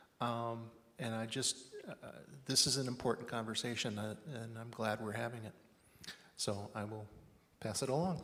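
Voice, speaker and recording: In a room with audible echo, a man with a bright, sharp tone speaks at a moderate pace with fairly even intonation and long, frequent pauses. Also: medium pitch for a man. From Everett, Washington. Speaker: panelist. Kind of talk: panel discussion. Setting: stage with audience. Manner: halting.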